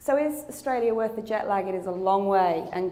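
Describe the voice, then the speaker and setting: Someone with a British accent speaks at a moderate pace amid noticeable background noise and audible room echo. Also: woman. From England. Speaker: clinical research company executive. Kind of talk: conference presentation.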